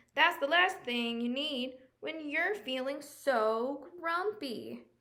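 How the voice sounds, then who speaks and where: A woman speaks at a very slow pace in a high voice. She uses a put-on character voice. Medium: read story.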